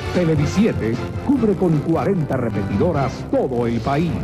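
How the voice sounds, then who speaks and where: A man talks fairly slowly against clear background music. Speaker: voice-over announcer. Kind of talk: TV station ID promo. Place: studio. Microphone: studio mic.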